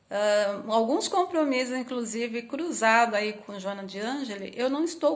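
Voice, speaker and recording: At a fairly slow pace, a woman with a high pitch talks with ordinary pitch variation. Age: 50s. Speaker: spiritist lecturer. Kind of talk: religious talk.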